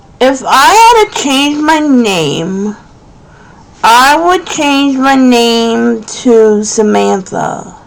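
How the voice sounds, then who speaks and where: In an American accent, a woman talks at a very slow pace with a high pitch, very wide pitch swings and very even loudness. Noticeable background noise and audible room echo fill the recording. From New Jersey, Monmouth/Ocean County. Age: 30s. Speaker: craft YouTuber. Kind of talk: casual Q&A chat.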